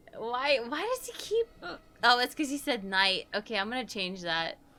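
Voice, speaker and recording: Over noticeable background noise, a woman speaks at a moderate pace with a high pitch and an animated tone. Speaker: game streamer. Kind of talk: live gameplay commentary.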